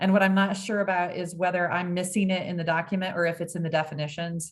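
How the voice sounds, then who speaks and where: A woman's somewhat breathy voice. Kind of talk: public meeting discussion.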